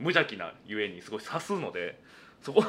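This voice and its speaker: At a fairly quick pace, a man's bright, sharp voice moves through very wide pitch swings. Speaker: comedian. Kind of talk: solo radio talk. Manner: talkative.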